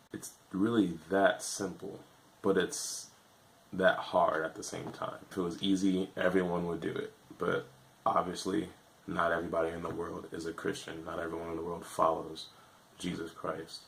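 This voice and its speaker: Over noticeable background noise, the voice keeps a moderate pace and a monotone, flat intonation. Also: man, very deep, low pitch for a man. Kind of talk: casual talk to camera.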